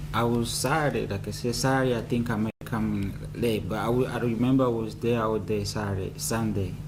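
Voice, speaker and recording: A man talks at a fairly quick pace with fairly even intonation. There is audible room echo and noticeable background noise. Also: medium pitch for a man, hardly any pauses. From Rwanda, born in Congo. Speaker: trial witness. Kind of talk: court testimony. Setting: courtroom. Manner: quiet; halting. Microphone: too quiet, far from the mic.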